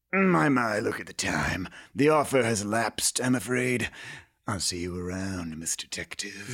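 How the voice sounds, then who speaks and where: This man's voice sits at a medium pitch with lively intonation. He moves at a moderate pace. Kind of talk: comic noir parody. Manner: silky, oily, unhurried.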